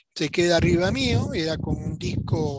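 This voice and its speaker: This man's voice sits at a fairly high pitch with fairly even intonation. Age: 70s. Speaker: UFO witness. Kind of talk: interview testimony.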